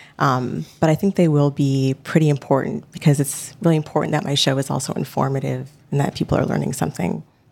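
A woman talks very fast with hardly any pauses. Her pitch is very deep and low, with ordinary pitch variation. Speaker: podcast finalist. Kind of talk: stage Q&A.

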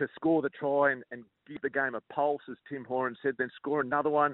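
This man has a normal speaking voice with a fairly high pitch. He talks at a fairly quick pace with fairly even intonation. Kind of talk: rugby analysis, casual explanatory chat. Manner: aggrieved, matter-of-fact, explanatory.

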